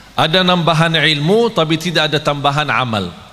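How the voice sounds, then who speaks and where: Amid noticeable background noise, a fairly high-pitched man talks at a fairly slow pace with ordinary pitch variation. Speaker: preacher. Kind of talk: sermon.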